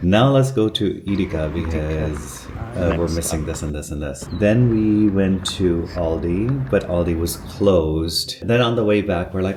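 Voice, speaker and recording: Noticeable background noise sits under a man's voice. His pitch is very deep and low, with ordinary pitch variation. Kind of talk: casual talk to camera, reflective vlog narration. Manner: soft-spoken, reflective.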